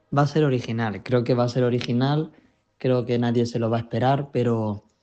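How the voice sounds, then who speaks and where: Against a quiet background, a man speaks at medium pitch and a moderate pace in a dark, mellow tone with monotone, flat intonation. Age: young. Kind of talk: radio interview answer.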